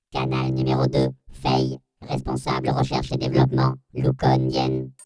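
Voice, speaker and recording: A put-on character voice comes out very deep and low in a flat monotone. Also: moderate pace. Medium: audio drama. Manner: flat, clipped listing.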